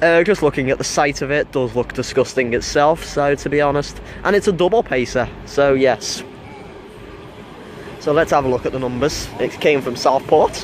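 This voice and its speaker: A man at a moderate pace with ordinary pitch variation, in a dry sound with no echo and noticeable background noise. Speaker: trainspotting vlogger. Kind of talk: casual vlog commentary. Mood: enthusiastic. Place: station.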